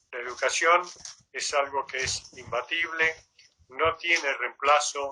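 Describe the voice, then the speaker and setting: A man's fairly high voice at a very slow pace, fairly even in intonation, with big swings in loudness. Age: 80s+. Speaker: retired volunteer, interviewee. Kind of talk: interview conversation.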